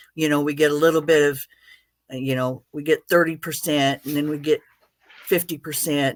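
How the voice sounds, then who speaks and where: A moderate pace carries the speech through a very clean recording against a silent background. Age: 60s. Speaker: veteran, retired teacher. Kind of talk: testimony. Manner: halting.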